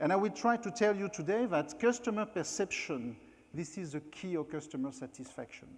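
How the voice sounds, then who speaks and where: A high-pitched man with a French accent and lively intonation. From France. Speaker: keynote speaker, former hotel executive. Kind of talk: conference talk. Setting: stage at company meeting.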